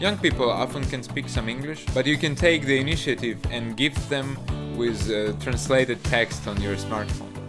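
Clear background music behind a man talking at a moderate pace. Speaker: vlogger living abroad. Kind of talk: tutorial.

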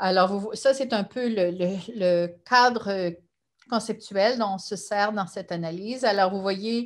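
A woman speaks very slowly in a fairly high voice, with ordinary pitch variation against a quiet background. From Quebec, Gatineau; Quebec. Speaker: sociology professor. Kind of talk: lecture. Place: home room. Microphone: webcam.

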